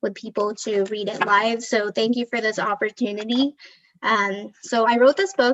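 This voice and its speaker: Here a woman speaks with a Filipino accent. Her pace is fairly slow and her pitch fairly high. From Philippines (Manila), moved to Southern California at 11. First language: Tagalog. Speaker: children's book author. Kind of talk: casual talk about herself before a book reading. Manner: hesitant, many fillers.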